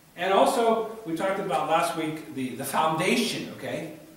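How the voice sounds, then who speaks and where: In a space with strong room echo, a man speaks at a fairly slow pace. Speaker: preacher. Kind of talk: sermon. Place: church.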